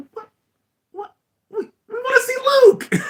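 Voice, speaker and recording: This is a put-on character voice with an extremely high pitch. It moves at a fairly slow pace. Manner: whiny, complaining.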